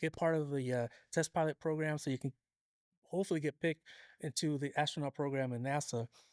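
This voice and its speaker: This man has a fairly high pitch and fairly even intonation. He talks very fast. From Southern California, Escondido. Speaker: materials engineer and lowrider car builder. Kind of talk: interview. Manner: casual with frequent fillers.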